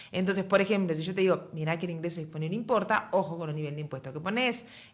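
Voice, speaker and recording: A woman with a Uruguayan accent, fairly low in pitch, ordinary pitch variation, at a very fast pace. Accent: Uruguayan Spanish, noticeable. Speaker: economist, university dean. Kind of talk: interview.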